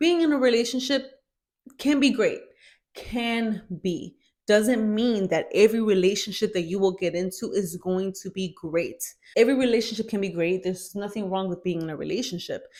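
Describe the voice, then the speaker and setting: A woman speaks with a fairly high pitch and ordinary variation in it. The recording is very clean, with a silent background. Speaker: motivational vlogger. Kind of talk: motivational talk to camera. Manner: fast.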